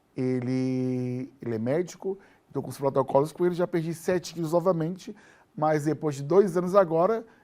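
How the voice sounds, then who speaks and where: There's a dark, mellow tone to this man's fairly high voice, which has ordinary pitch variation. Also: moderate pace. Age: 50s. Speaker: TV show host. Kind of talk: TV interview.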